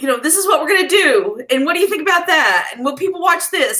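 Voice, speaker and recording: A woman talks at a fairly quick pace in a raised, projected voice. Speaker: YouTuber, mother co-host. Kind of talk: casual livestream chat. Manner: fast.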